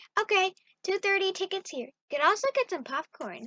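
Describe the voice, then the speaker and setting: An extremely high, squeaky cartoonish character voice from a woman, upbeat in tone and at a fairly quick pace. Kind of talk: carnival barker call. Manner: upbeat, repetitive calls.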